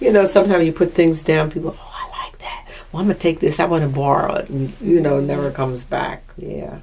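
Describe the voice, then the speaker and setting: Over noticeable background noise, a woman with an American accent speaks very fast with hardly any pauses. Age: 80s+. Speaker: oral history interviewee. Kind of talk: oral history interview. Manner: halting.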